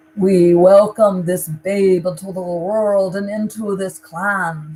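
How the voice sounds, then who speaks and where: A put-on character voice, booming and resonant, sits at a middle pitch. The pace is fairly slow. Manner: solemn, ceremonial.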